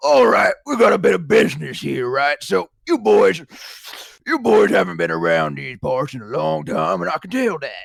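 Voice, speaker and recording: A man's put-on character voice in a Southern US accent, at a moderate pace. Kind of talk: preacherly, friendly. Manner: folksy, authoritative.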